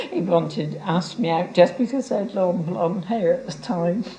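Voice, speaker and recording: A woman's medium-pitched voice with lively intonation at a moderate pace, amid noticeable background noise. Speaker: local resident. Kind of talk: interview.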